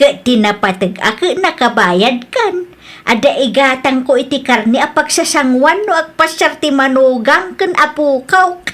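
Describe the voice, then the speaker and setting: Putting on a character voice, a woman speaks high and with lively intonation at a fairly slow pace, with hardly any pauses. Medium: audio drama. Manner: emotional, quick to flare up.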